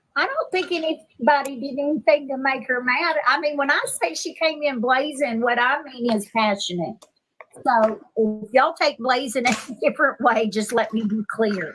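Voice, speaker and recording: A woman's high-pitched voice, with ordinary pitch variation, moves at a moderate pace. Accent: Texan. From Texas. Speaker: live stream participant. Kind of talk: casual chat.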